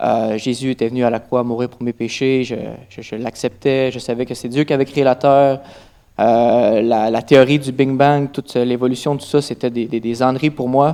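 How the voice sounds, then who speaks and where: In a Quebec accent, a man with a dark, mellow tone speaks at medium pitch and a moderate pace, his intonation monotone and flat. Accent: Québécois French. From Quebec, Trois-Rivières. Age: 20s. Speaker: church testimony speaker. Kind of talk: testimony. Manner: halting, many fillers.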